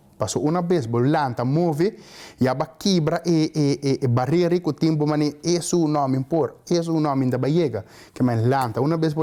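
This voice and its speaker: This man has a dark, mellow tone and a fairly high pitch. He talks at a moderate pace with ordinary pitch variation. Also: very even loudness. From Aruba. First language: Papiamento (speaking Portuguese). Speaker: student giving advice. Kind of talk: interview monologue.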